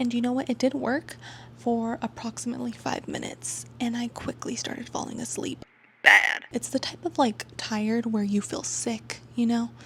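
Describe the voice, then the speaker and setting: A woman talks at a moderate speed while clear background noise plays behind her. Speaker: booktuber. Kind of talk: casual vlog chat.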